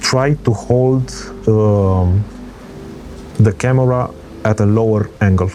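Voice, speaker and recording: Noticeable background noise sits under this recording. A man talks at a fairly low pitch with ordinary pitch variation. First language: not English. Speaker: travel vlogger. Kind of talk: tutorial. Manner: halting.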